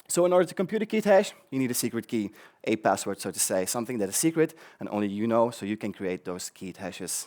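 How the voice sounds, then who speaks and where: In a very clean recording with a silent background, a man with a Flemish accent talks very fast at a medium pitch, his voice making very wide pitch swings. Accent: Belgian (Flemish) English. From Belgium. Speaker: conference speaker, developer advocate. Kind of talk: tech conference talk. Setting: stage with audience. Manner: many filler ums and repetitions.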